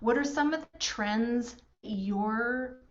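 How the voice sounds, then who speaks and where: There is music in the background as a woman speaks with a Canadian accent. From rural Alberta, Canada. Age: 40s. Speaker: workshop host, financial firm co-founder. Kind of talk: online workshop facilitation.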